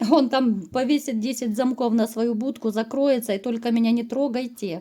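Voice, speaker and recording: A woman's high-pitched voice at a moderate pace. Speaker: tarot reader. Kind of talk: tarot reading to camera. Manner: hesitant, many filler sounds.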